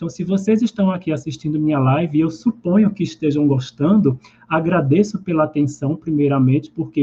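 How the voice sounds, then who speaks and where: This man has a Pernambuco accent and a fairly high pitch. His tone is dark and mellow, and his pitch varies in an ordinary way. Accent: Pernambuco (northeastern Brazilian). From Brazil, southern Pernambuco. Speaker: holistic therapist. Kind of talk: live stream talk. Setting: live stream. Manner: conversational.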